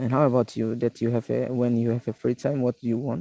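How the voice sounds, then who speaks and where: A man with an East Timorese accent, medium-pitched, against a quiet background. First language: not English. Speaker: English class participant. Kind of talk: casual conversation practice. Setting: video call. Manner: halting.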